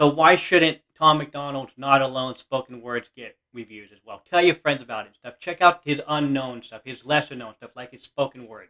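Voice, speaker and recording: A man with a fairly high pitch and ordinary pitch variation talks at a moderate pace, with hardly any pauses. His loudness swings widely, and the background is quiet. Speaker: reaction video youtuber. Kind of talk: reaction video, casual chat. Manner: excitable, gushing. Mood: enthusiastic, supportive. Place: home room. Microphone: webcam.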